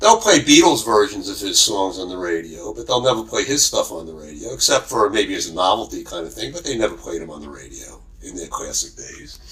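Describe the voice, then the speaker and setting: A man talks at a fairly quick pace with hardly any pauses. His loudness swings widely over noticeable background noise. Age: 60s. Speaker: podcaster. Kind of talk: rant. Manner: halting.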